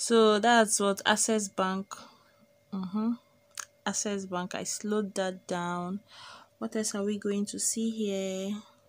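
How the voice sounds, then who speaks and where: A woman talks at a fairly slow pace with monotone, flat intonation and long, frequent pauses. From Nigeria. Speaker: vlogger; vlogger in car. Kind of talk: casual vlog narration. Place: car. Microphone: phone near.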